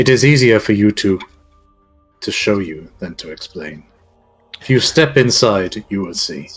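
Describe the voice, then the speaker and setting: A man uses a put-on character voice at a fairly low pitch, with long, frequent pauses. Faint music plays in the background. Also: moderate pace. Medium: actual play. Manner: archaic, measured.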